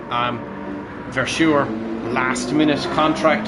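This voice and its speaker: A man speaks quietly in an enthusiastic tone. Audible room echo and noticeable background noise are present. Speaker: live stream racing commentator and channel owner. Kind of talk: live commentary. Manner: quiet but enthusiastic.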